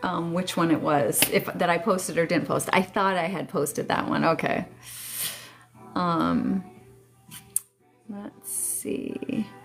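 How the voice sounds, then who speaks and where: With music in the background, a woman speaks very slowly in a fairly low pitch, her intonation lively and her speech broken by long, frequent pauses. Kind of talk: casual live stream chat. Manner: chatty, hesitant with fillers.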